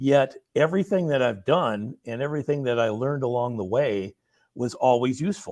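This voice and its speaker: A man with an American accent speaks at a medium pitch and a moderate pace, with ordinary pitch variation over a quiet background. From Minnesota, US. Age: 60s. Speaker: former radio program director. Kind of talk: interview. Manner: halting.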